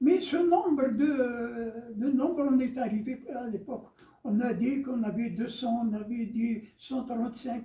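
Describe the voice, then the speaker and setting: This man's voice sits at an extremely high pitch, yet its tone is dark and mellow. He speaks at a very slow pace with ordinary pitch variation. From Algeria, Biskra region. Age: 80s+. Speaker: Algerian war veteran, former FLN militant. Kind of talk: interview answer.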